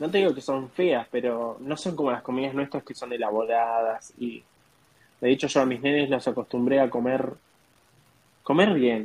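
A man with a Rioplatense accent, medium pitch, moderate pace and ordinary pitch variation. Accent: Argentine Rioplatense Spanish. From Argentina. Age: 20s. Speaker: au pair. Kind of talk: interview.

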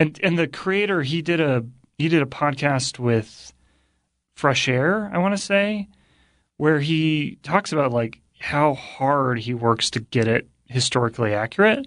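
Over a quiet background, a man with a normal speaking voice talks at a fairly slow pace. His pitch is fairly high and his intonation lively. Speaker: guest co-host. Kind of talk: casual chat.

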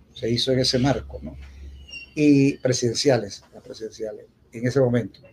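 This man's somewhat breathy voice sits at a medium pitch, with ordinary pitch variation and a moderate pace. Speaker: poet and university speaker. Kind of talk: formal speech at a festival opening. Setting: theatre stage with audience.

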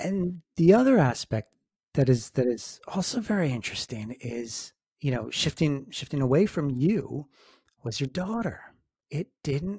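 Speaking at a fairly slow pace, a man with a fairly high pitch and a dark, mellow tone sounds somewhat breathy as his pitch swings very widely. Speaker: paranormal podcast host and author. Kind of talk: interview with scripted intro. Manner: formal, measured.

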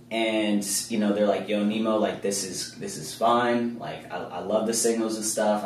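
With an American accent, a man speaks at a moderate pace in a fairly low pitch. Noticeable background noise is present. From Kansas City, US Midwest. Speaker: forex trader and entrepreneur. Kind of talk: casual interview.

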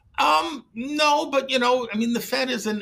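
With an American accent, a man talks while music plays in the background. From US Midwest, Detroit. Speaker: economist. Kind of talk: interview.

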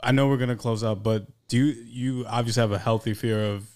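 In a plain, everyday voice, a man with an American accent speaks at a fairly quick pace with medium pitch and fairly even intonation, on a very clean recording with a silent background. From New York City. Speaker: podcast co-panelist. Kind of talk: casual chat.

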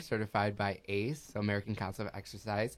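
This is a normal speaking voice moving at a fairly quick pace. The recording is very clean, with a silent background. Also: man. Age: 30s. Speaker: personal trainer. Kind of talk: casual chat.

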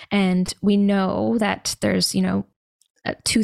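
Heard on a very clean recording with a silent background, a plain, everyday voice with a Canadian accent shows ordinary pitch variation. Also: woman. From Canada. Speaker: mushroom supplement company founder, holistic nutritionist. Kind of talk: casual interview.

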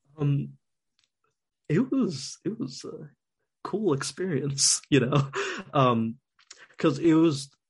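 A man speaks in a fairly high, somewhat breathy voice with an American accent. His pace is very slow, broken by long, frequent pauses. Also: ordinary pitch variation. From US Northeast. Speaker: designer. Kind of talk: casual chat.

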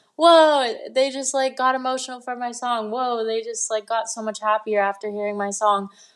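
In a quiet setting, a woman with an American accent speaks at a moderate pace. Her pitch sits fairly high, and her intonation stays fairly even. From Los Angeles, US. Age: 20s. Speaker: singer-songwriter and livestreamer. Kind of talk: interview.

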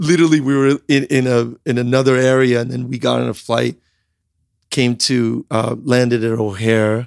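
At a moderate pace, a man of medium pitch speaks with fairly even intonation in a normal speaking voice, the sound dry and close with no echo. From US Midwest (central Illinois), born in Iran. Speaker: entrepreneur. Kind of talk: interview.

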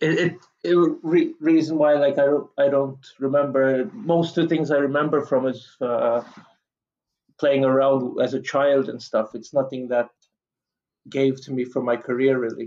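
An ordinary speaking voice goes at a moderate pace with fairly even intonation. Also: man, fairly high pitch for a man. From Canada until 12, then Malta. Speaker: chef. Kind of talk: interview.

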